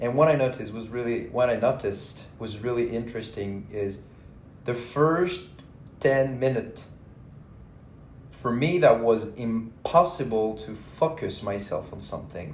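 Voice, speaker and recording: Speaking slowly with long, frequent pauses, a man in a French accent has a somewhat breathy, medium-pitched voice with ordinary pitch variation. His loudness swings widely, and the room echo is audible. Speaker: vlogger. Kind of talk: casual monologue. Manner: halting.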